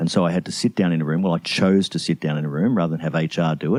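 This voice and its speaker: A man with an Australian accent speaks at a very fast pace in a very deep, low pitch. His tone is dark and mellow, and the sound is dry and close with no echo. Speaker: CEO and leadership mentor. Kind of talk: interview answer.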